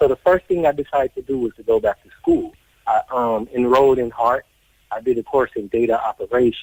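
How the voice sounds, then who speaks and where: A man with an American accent speaks in a dry, close sound with no echo, his loudness swinging widely. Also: fairly quick pace. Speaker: deportee telling life story. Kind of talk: interview testimony.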